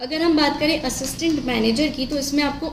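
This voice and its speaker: Amid noticeable background noise, a woman speaks with fairly even intonation. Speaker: bank exam guidance youtuber. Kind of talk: casual talk to camera. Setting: damaged microphone, poor audio quality.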